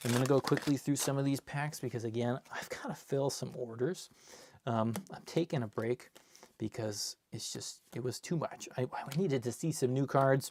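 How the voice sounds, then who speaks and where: A man in an ordinary speaking voice, medium in pitch with ordinary variation, at a moderate pace. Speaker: card collector and seller opening packs. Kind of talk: live stream box opening. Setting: live stream.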